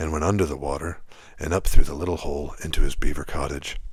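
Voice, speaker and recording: A man speaking at a fairly quick pace in a monotone, flat intonation. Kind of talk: whispered sleep story narration. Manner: whispered, soft, calm.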